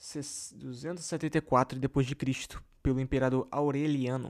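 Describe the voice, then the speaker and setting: A man speaks in a monotone with flat intonation, and the recording is very clean with a silent background. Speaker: religious history YouTuber. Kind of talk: casual explanatory talk. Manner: halting.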